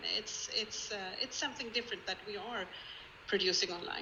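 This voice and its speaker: In a Swedish accent, a woman speaks at medium pitch with fairly even intonation. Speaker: museum collections head. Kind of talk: online presentation. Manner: halting.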